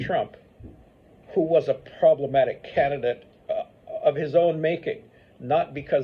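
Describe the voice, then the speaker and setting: Moderate pacing from a man, with background noise clearly noticeable. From Paraguay. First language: Spanish and English. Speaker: history professor. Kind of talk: interview answer.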